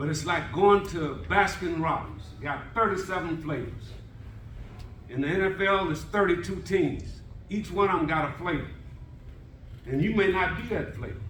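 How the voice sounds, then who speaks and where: Amid audible room echo and noticeable background noise, a man speaks at a high pitch and moderate pace with lively intonation and long, frequent pauses. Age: 70s. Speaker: former NFL scout, panelist. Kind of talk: panel talk to college athletes.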